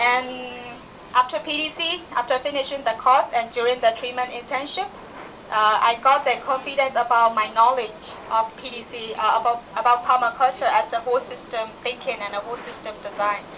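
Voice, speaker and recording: With a Burmese accent, a woman talks at a fairly quick pace in a high pitch with ordinary pitch variation. Audible room echo and noticeable background noise are present. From Myanmar. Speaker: permaculture practitioner. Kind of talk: conference talk. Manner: halting.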